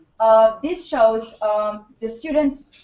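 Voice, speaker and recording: A woman speaks in a Hungarian accent. Her pitch sits fairly high. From Hungary. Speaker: student union representative. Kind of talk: presentation. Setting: seminar audience. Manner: halting.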